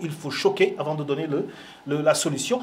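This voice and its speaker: Noticeable background noise sits behind a man whose animated tone carries very wide pitch swings. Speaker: film show host. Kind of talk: casual commentary.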